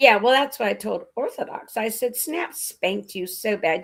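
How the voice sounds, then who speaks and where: With an animated tone, a woman speaks at a fairly high pitch. Her intonation is lively. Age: 60s. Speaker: live stream host. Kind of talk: casual chat.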